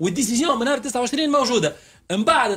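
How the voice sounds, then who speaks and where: A man talks while faint music sounds in the background. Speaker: radio guest. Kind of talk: interview answer. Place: studio. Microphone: studio mic.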